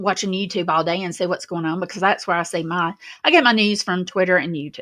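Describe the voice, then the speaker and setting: In a Southern US accent, a woman speaks against a quiet background. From Alabama. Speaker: YouTube commentary host. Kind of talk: casual livestream monologue. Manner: conversational, rambling with fillers.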